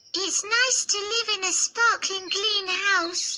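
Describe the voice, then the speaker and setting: A squeaky, put-on character voice at an extremely high pitch, with light background noise behind it. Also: fairly slow pace. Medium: read story. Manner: cheerful, friendly.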